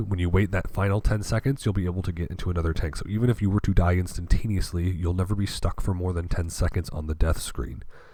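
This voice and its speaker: A man speaks very fast in a very deep, low voice. His delivery is somewhat breathy. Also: ordinary pitch variation, hardly any pauses. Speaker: gaming video creator. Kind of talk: casual gaming commentary.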